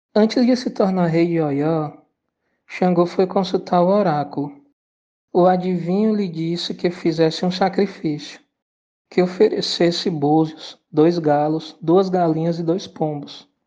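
A woman speaks in a solemn tone with a dark, mellow quality. Her pace is fairly slow, her pitch variation ordinary, and the background quiet. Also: fairly low pitch for a woman. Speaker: storyteller narrating Yoruba myth. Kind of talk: mythic folktale narration, ritual-like storytelling. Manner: measured, rhythmic, solemn storytelling with ritual salutations and calls.

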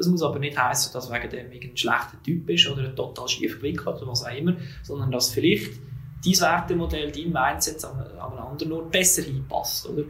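Over noticeable background noise, a man talks at a fairly quick pace, his pitch fairly high with ordinary variation. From Switzerland, Zug. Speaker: HR manager. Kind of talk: interview.

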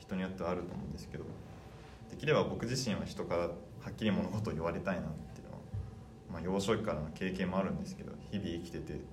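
Over noticeable background noise and audible room echo, a man speaks at a very fast pace in a very deep, low voice. His pitch variation is ordinary, and he takes long, frequent pauses. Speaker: podcast guest. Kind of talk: casual interview chat.

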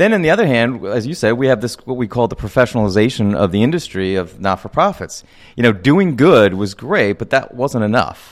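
A man's medium-pitched voice with an American accent, lively intonation, a fairly quick pace and hardly any pauses, on a very clean recording with a silent background. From US Northeast, Reading, Pennsylvania. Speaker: professor and film commissioner. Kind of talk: radio interview.

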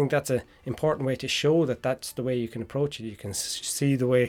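A man with an Irish accent and fairly even intonation, music in the background. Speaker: podcast host and mature student. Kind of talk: casual chat.

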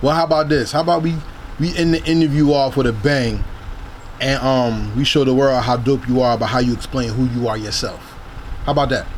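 Someone talks fairly quickly with a New Jersey accent. Noticeable noise runs in the background. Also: man, medium pitch for a man. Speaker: podcast host. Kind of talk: interview. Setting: in person.

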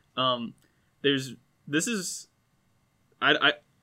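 The recording is very clean and the background silent. A man talks with ordinary pitch variation. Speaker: sports podcast co-host, student. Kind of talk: casual chat. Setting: studio.

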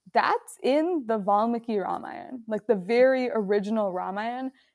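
A woman with an American accent talks in a normal speaking voice at a fairly slow pace, with a fairly high pitch and ordinary pitch variation, in a very clean recording with a silent background and a dry, close sound with no echo. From US Midwest, Chicago suburbs. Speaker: author and law student. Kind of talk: podcast interview.

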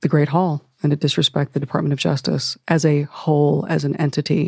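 In a Midwestern American accent, a woman speaks with a very deep, low pitch and a dark, mellow tone. Her intonation is fairly even, and the sound is dry and close with no echo. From Ohio, US Midwest. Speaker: former FBI agent, civil rights advocate. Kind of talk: interview.

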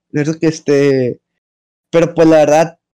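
A man speaks with a Mexican accent at a fairly high pitch. His tone is dark and mellow, his intonation monotone and flat. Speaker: podcast co-host. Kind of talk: casual chat.

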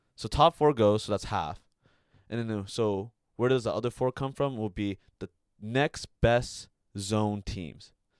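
Recorded very cleanly against a silent background, the dry, close sound with no echo carries a man with a Californian accent speaking at a fairly slow pace in a medium pitch, with ordinary pitch variation and long, frequent pauses. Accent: Californian American. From US, Bay Area, California. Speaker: Olympic fencer. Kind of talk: casual chat.

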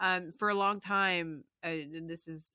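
A western US accent comes through on a very clean recording with a silent background. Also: woman. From Utah, Salt Lake City. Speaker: software engineer. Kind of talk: interview.

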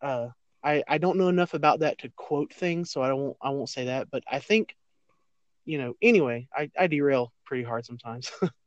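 A man with an American accent talks at a fairly quick pace and fairly high pitch, with ordinary pitch variation, in a plain, everyday voice. The sound is dry and close with no echo, against a quiet background. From US South. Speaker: podcast guest. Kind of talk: casual chat.

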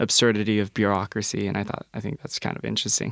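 A man with a fairly low pitch, vocal fry and fairly even intonation, in a dry, close sound with no echo on a very clean recording with a silent background. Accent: American. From Colorado, Denver area. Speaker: university student. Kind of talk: casual interview. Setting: studio.

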